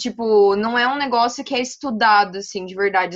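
At a moderate pace, a woman with a fairly high pitch uses an unremarkable speaking voice with ordinary pitch variation. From Brazil, Paraná (Maringá). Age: 20s. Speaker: medical student and cannabis influencer. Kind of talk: casual interview chat.

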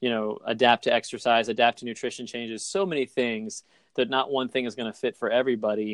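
A man with an unremarkable speaking voice talks at medium pitch with fairly even intonation, in a dry, close sound with no echo over a quiet background. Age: 40s. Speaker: fitness business owner and podcast host. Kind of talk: casual interview chat.

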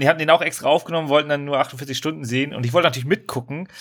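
On a very clean recording with a silent background, a man speaks with a fairly high pitch and fairly even intonation. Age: 30s. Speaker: podcast co-host. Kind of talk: casual chat.

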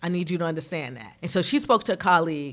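A woman speaks very fast at a medium pitch with a New York accent. The recording is very clean, with a silent background. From New York, Harlem. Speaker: marketing director and PR agency owner. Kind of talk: casual chat.

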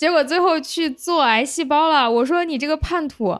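A woman talks fairly slowly, using ordinary pitch variation. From Lanzhou, northwest China. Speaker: podcast host. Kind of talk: casual interview chat. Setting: remote online recording.

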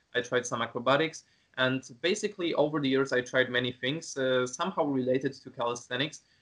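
It's a man with a medium pitch, an ordinary speaking voice, and ordinary pitch variation. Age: 20s. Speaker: calisthenics content creator. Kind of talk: casual interview.

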